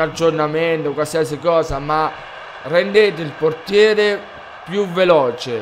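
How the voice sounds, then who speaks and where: Very slow speech from a man at a fairly high pitch, with ordinary pitch variation and noticeable background noise. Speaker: gaming youtuber. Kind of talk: casual video game review to camera.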